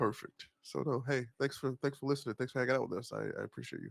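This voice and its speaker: With vocal fry and a medium pitch, a man speaks at a fairly quick pace in a dry, close sound with no echo. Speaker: streamer. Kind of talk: casual chat.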